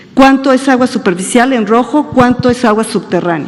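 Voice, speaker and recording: Noticeable background noise sits behind this woman's voice. Her pitch is fairly high, with ordinary pitch variation. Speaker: government agency director. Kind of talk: press conference Q&A. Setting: press conference. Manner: fast.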